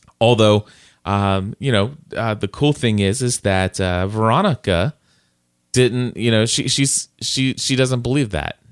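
A normal speaking voice moves at a fairly slow pace with ordinary pitch variation. The sound is dry and close with no echo, and the recording is very clean with a silent background. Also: man, medium pitch for a man. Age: 40s. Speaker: podcast host. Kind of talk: casual chat; sponsor read.

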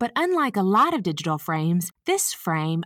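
In a Southern US accent, a woman speaks at a moderate pace and a medium pitch. The recording is very clean, with a silent background and a dry, close sound with no echo. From US South. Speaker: podcast host and senior care advisor. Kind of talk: informal scripted-style podcast monologue. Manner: friendly, conversational.

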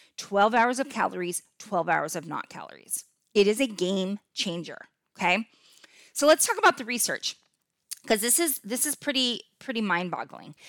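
With an animated tone and lively intonation, a woman speaks at a moderate pace in a fairly high pitch, her loudness swinging widely. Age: 50s. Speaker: podcast host and health coach. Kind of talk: casual solo podcast tutorial.

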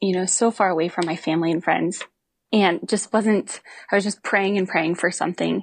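A woman with an American accent, a normal speaking voice at medium pitch, against a quiet background. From Montana, US. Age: 20s. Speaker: physical therapist and fitness coach for riders. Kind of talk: interview testimony.

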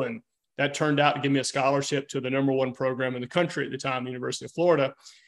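The background stays quiet as a man speaks with a Southern US accent. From US South. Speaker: fitness coach. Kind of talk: casual chat.

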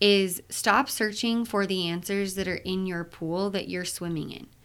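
At a moderate pace and medium pitch, a woman speaks in a very clean recording with a silent background. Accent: Utah. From Utah. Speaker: mental health therapist, podcast host. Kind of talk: solo podcast monologue. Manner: casual, with filler words.

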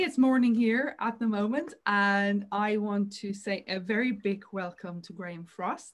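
A woman with an Irish accent, at a fairly slow pace, with hardly any pauses. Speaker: podcast host and intuition coach. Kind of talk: casual interview conversation.

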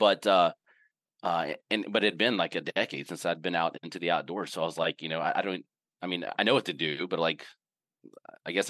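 In a Southern US accent, a man talks at a very fast pace with very deep, low pitch and fairly even intonation. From US South, Mississippi. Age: 40s. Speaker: outdoor gear company CEO. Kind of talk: casual interview. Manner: halting, many fillers.

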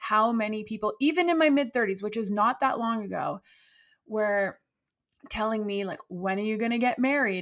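An animated voice at a moderate pace, with ordinary pitch variation. The recording is very clean, with a silent background. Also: woman, fairly high pitch for a woman. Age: 40s. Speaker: high performance coach, former athlete. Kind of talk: casual interview chat.

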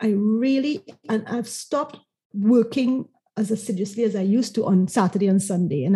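Her voice is fairly high, with a dark, mellow tone and a somewhat breathy quality. This woman's pitch varies an ordinary amount, on a very clean recording with a silent background. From Trinidad and Tobago. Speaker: marketing consultant. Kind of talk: interview conversation.

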